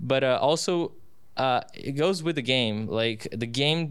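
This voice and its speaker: The speaker has a Portuguese accent. Pitch variation is ordinary. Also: man. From Brazil. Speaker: student sports announcer. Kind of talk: casual interview. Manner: halting.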